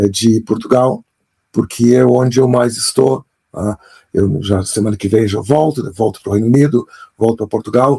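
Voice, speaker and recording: A man speaks at a moderate pace with a medium pitch. His tone is dark and mellow, and somewhat breathy. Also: ordinary pitch variation. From Brazil, Pelotas, Rio Grande do Sul. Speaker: author and storytelling expert. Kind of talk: interview. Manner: halting, with many fillers and repetitions.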